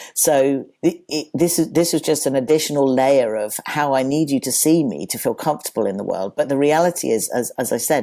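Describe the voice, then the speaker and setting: His voice sits at a fairly high pitch with a dark, mellow tone. The man speaks at a moderate pace with ordinary pitch variation. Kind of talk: interview. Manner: halting, many restarts.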